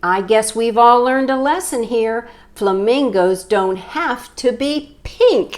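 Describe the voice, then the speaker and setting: A woman uses a put-on character voice pitched high. She speaks at a fairly slow pace. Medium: read story.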